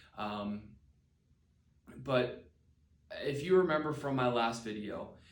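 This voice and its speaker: With an American accent, a man speaks at a medium pitch with ordinary variation, and the room's echo is audible. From Pennsylvania, Palmyra. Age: 20s. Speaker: special education teacher. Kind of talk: personal testimony video. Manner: hesitant, many fillers.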